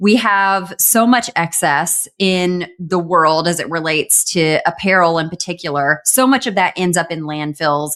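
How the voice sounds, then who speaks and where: A woman speaks with a Southern US accent at a fairly low pitch and a fairly slow pace, with ordinary pitch variation. She hardly pauses, and the recording is very clean over a silent background. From US South. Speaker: e-commerce news show co-host. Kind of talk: casual chat.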